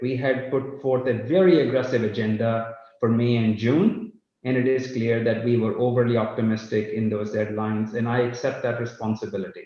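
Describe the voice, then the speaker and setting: A man's somewhat breathy voice with a dark, mellow tone, medium pitch, moderate pace and audible room echo. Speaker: company CEO. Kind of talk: live company update. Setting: live online session.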